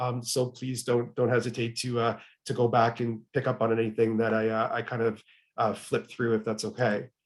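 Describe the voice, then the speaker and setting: A man talks at a medium pitch. His intonation is monotone and flat. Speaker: webinar presenter on HR topics. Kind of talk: webinar presentation. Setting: online webinar. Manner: fast.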